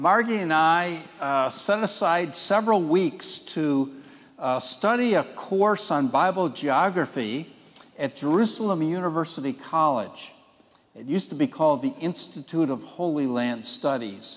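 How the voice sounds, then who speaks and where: Over music in the background, a man speaks at a fairly slow pace, his pitch swinging very widely. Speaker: Sunday school teacher. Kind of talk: lecture. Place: church.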